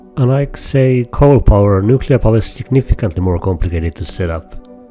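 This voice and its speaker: A man's intonation is lively as music plays in the background. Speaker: game tutorial creator. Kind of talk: game tutorial narration.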